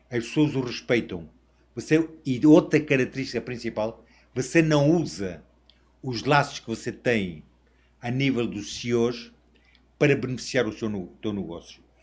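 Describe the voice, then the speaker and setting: On a very clean recording with a silent background, a man with a medium pitch speaks fairly slowly with lively intonation and long, frequent pauses. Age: 60s. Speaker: international sales representative. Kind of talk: interview podcast.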